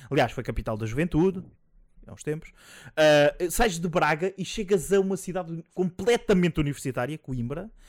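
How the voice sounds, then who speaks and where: The recording is very clean, dry and close with no echo and a silent background, as a man speaks at a fairly quick pace with very wide pitch swings. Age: 30s. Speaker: podcast host. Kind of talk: casual chat. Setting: Twitch live stream.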